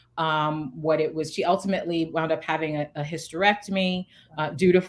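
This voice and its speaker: A woman with a normal speaking voice talks at a moderate pace in a fairly low pitch, her intonation fairly even. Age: 40s. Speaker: founder and CEO. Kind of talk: interview answer.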